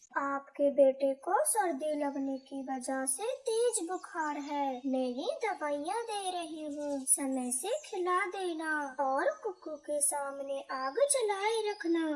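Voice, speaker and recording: A female-sounding cartoonish character voice, high in pitch, speaks at a very slow pace. There are hardly any pauses, and light background noise is audible. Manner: calm, reassuring.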